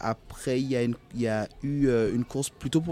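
A man's dark, mellow voice at medium pitch, with ordinary pitch variation, in a very clean recording against a silent background. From Guadeloupe (Goyave, Basse-Terre). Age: 30s. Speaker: sailor and youth educator. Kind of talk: interview. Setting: outdoors at a marina.

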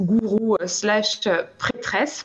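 A woman talks at a medium pitch. Noticeable background noise runs underneath. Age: 30s. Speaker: palmist, sound therapist, café co-owner. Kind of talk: casual chat. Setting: video call.

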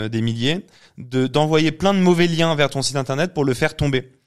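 The recording is very clean, with a silent background. A man with an ordinary speaking voice talks at a fairly high pitch with ordinary pitch variation. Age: 30s. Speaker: agency founder and CEO. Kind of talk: casual interview.

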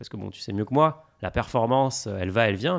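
A man with an ordinary speaking voice talks at a medium pitch and a fairly quick pace in a very clean recording with a silent background. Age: 30s. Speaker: fintech founder. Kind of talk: casual chat.

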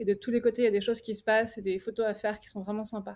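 A woman with an unremarkable speaking voice talks in a fairly even intonation. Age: 30s. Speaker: wedding photographer. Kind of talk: casual roundtable chat. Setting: remote video call.

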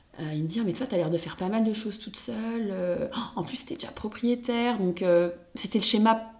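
A woman's fairly high voice at a fairly quick pace with ordinary pitch variation, set against noticeable background noise. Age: 20s. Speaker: podcast guest sharing her love life. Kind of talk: casual chat. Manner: halting, many repeated words.

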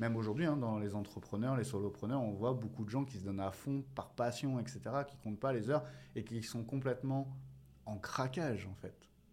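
In an ordinary speaking voice, a man talks at a moderate pace and medium pitch. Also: ordinary pitch variation. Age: 40s. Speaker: entrepreneur and business coach, former soldier. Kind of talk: interview conversation.

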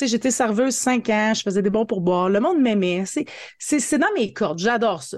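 Against a quiet background, a woman talks with lively intonation at a fairly high pitch. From northern Ontario, Franco-Ontarian (Hearst). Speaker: marketing coach and entrepreneur. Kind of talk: interview. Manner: animated.

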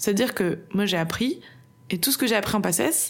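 Noticeable background noise behind a woman speaking at a fairly high pitch. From France, Bordeaux. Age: 20s. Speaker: medical student, former nurse. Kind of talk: casual interview chat.

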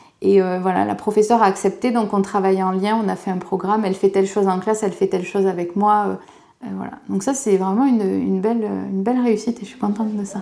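Speaking at a very fast pace, a woman uses a dark, mellow tone at medium pitch with monotone, flat intonation. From southwest France. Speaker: specialised schoolteacher. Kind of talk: casual interview talk. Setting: outdoors in school grounds.

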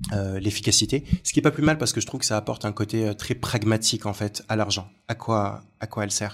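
On a very clean recording with a silent background, a man speaks somewhat breathily at a fairly low pitch with ordinary pitch variation. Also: fairly quick pace. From Algeria. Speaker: negotiation coach and recruiter. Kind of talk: casual chat. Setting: coworking space.

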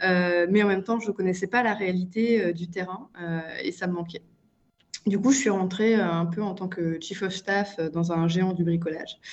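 A woman talks at a fairly slow pace. Her medium pitch carries fairly even intonation. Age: 30s. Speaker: management consultant. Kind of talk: interview. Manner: hesitant, many fillers.

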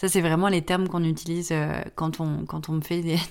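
A woman with a fairly low pitch speaks in a monotone, flat way on a very clean recording with a silent background. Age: 20s. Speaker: podcast host and graphic design studio founder. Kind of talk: casual solo podcast monologue. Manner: hesitant, many fillers.

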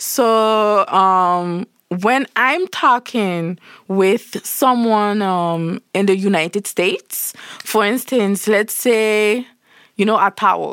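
At a very slow pace, a woman speaks at a medium pitch with ordinary pitch variation and very even loudness, in a dry, close sound with no echo. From Saint Martin (Caribbean). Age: 20s. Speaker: entrepreneur, founder of a professional network. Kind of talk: casual interview. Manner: animated.

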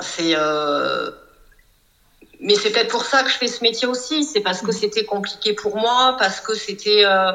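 The speaker has an unremarkable speaking voice. The pace is moderate and the intonation lively. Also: woman. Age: 40s. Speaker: psychoanalyst and coach. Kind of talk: casual interview.

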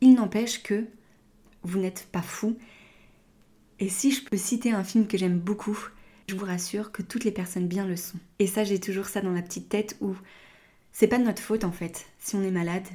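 A woman speaks at a moderate pace with long, frequent pauses. Her medium-pitched voice has a dark, mellow tone and is somewhat breathy. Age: 30s. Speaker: podcast host, naturopath. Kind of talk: personal testimony monologue.

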